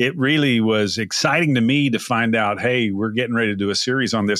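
A man's bright, sharp, medium-pitched voice with an American accent, on a very clean recording with a silent background. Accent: East Texas, slightly scrubbed. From East Texas. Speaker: podcast host. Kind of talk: podcast interview, conversational.

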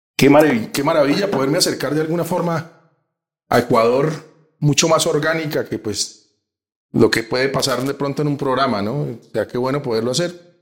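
Speaking at a fairly quick pace, a man uses a normal speaking voice with a fairly high pitch and ordinary pitch variation. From Colombia. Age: 50s. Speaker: sports journalist. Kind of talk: casual interview. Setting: in person in Bogotá.

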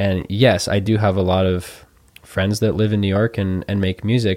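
Over music in the background, the talking proceeds at a moderate pace. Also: man. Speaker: trumpet player. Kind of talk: casual chat. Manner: halting, with many fillers.

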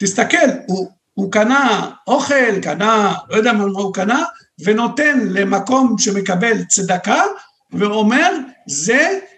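The speaker goes at a very slow pace with long, frequent pauses. The intonation is lively. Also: man, high pitch for a man. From Lebanon, Beirut. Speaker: Middle East researcher. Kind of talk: interview.

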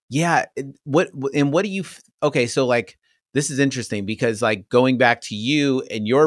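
Here a man has an unremarkable speaking voice with ordinary pitch variation. He keeps a moderate pace in a dry, close sound with no echo. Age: 40s. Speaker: podcast host. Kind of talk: interview conversation.

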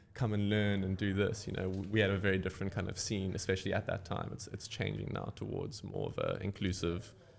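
A man talks at a fairly quick pace in a fairly low voice. Vocal fry runs through his speech. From Cape Town, South Africa. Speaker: surfboard shaper. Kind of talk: casual interview. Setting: surf shop.

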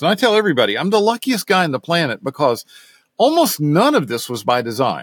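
Someone with an American accent talks at a fairly quick pace in a dry, close sound with no echo. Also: man. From US South, Knoxville, Tennessee. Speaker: technical services director and bike racing mechanic. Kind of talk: interview.

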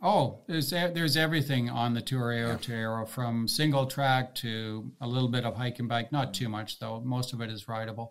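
With a Canadian accent and an ordinary speaking voice, a man at medium pitch talks fairly quickly with ordinary pitch variation and hardly any pauses. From Canada (mostly Toronto). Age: 60s. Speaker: retired long-distance cyclist. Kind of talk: casual interview chat.

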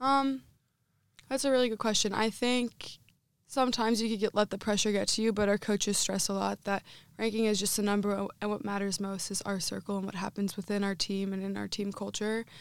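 A woman with a plain, everyday voice talks at a medium pitch and fairly quick pace, her intonation fairly even, on a very clean recording with a silent background. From Northeastern Pennsylvania. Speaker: college field hockey goalkeeper. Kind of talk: interview.

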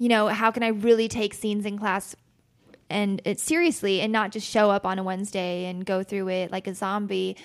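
The speaker is a woman with an American accent. Her pitch is fairly high. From Utah, US (Logan). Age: 20s. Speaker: singer-songwriter. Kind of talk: casual chat.

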